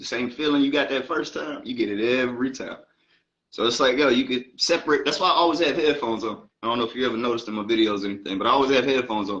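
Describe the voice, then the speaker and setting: A man with an American accent talks at a very fast pace. His pitch sits at a medium level. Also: ordinary pitch variation. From Baltimore, Maryland, then Atlanta from age 14. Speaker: rapper. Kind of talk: interview.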